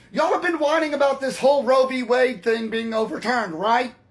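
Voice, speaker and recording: With noticeable background noise, a man talks at a fairly quick pace. His pitch is extremely high, with ordinary pitch variation. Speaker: political commentator. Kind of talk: opinion monologue.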